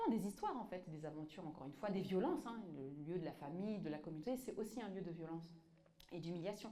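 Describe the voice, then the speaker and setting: A woman of medium pitch talks at a very fast pace with lively intonation, with audible room echo and noticeable background noise. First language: Tamazight (speaking French). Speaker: author and activist. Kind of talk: public talk with audience. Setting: museum exhibition with live audience. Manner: halting, many fillers and repetitions.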